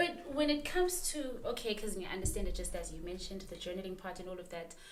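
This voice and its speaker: A woman at a very fast pace, her loudness swinging widely, with noticeable background noise. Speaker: podcast host. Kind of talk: podcast interview questions.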